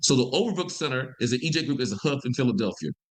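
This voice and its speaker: A man with a Mississippi accent, fairly high in pitch, lively in intonation and very fast in pace. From US South, Mississippi (Vicksburg). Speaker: environmental health scientist. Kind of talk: interview conversation. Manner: fast when excited.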